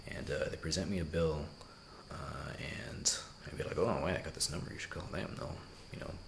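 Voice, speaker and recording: Whispering from a man at a fairly quick pace, with audible room echo and noticeable background noise. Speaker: travel vlogger. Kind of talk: casual vlog monologue. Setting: hotel room at night. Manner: hesitant, many fillers.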